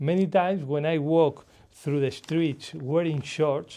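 Over a quiet background, a man with a Spanish accent speaks in a dark, mellow tone at a fairly high pitch, keeping a moderate pace and ordinary pitch variation. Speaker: author. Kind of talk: speech. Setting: stage with audience. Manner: humorous.

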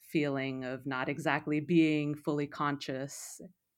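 A woman speaks with a very deep, low pitch in a monotone, flat intonation. The recording is very clean with a silent background. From Peru. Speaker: film critic. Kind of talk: casual film discussion.

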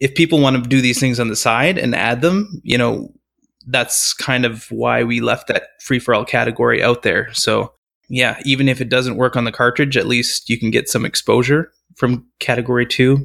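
Here is a man with a plain, everyday voice and a medium pitch. He keeps a moderate pace and very even loudness. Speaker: competition organizer. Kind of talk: interview.

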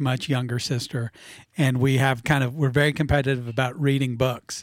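This is a man with an ordinary speaking voice, pitched fairly high. His intonation stays fairly even. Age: middle-aged. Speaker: musician and retired business owner. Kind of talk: casual interview chat. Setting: studio.

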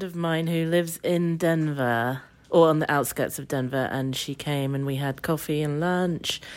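A woman speaks at a fairly low pitch and a fairly slow pace, with hardly any pauses. The recording is very clean, with a silent background. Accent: English. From England. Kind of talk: casual chat. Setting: hotel room.

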